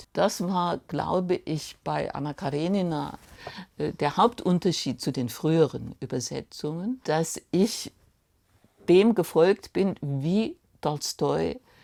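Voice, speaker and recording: On a very clean recording with a silent background, a woman speaks very slowly at a fairly low pitch in a dark, mellow tone. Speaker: literary translator from Russian. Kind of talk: documentary interview answer.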